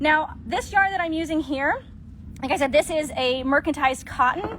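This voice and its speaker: A woman with a high pitch and ordinary pitch variation talks as noticeable background noise plays. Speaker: crochet content creator. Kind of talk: tutorial. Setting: livestream. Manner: fast.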